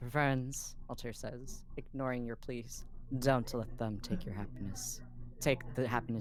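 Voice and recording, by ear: The passage is read aloud in a natural voice.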